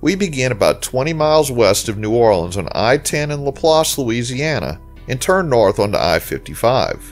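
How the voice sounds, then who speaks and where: Over background music, a man talks at a moderate pace with hardly any pauses and very wide pitch swings. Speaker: travel channel narrator. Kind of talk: documentary narration.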